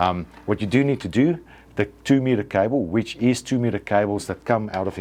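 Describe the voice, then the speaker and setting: A man speaks with a non-native accent, his tone dark and mellow, his pitch varying in an ordinary way. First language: not English. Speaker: antenna equipment seller demonstrating products. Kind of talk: product tutorial. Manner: hesitant, many fillers and restarts.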